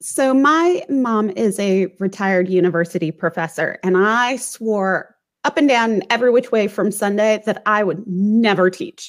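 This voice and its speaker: In a General American accent, a woman with a normal speaking voice talks at a fairly slow pace with hardly any pauses, her fairly high pitch carrying lively intonation on a very clean recording with a silent background. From US Midwest, St. Louis. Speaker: author. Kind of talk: interview.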